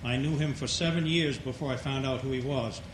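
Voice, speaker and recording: In a Maine accent, a man speaks in a fairly high voice amid audible room echo. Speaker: audience member asking a question. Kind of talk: audience question.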